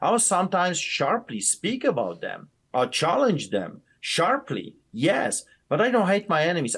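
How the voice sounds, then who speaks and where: A man with an Eastern European accent talks at a fairly slow pace and a high pitch, with very wide pitch swings over a quiet background. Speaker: pastor. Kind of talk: interview, heated and passionate.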